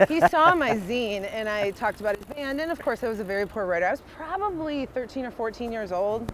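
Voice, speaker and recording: Over noticeable background noise, the speaker talks in an animated tone with lively intonation and hardly any pauses. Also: woman, fairly high pitch for a woman, fairly quick pace. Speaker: music blogger and event promoter. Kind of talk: casual conversation. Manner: loud.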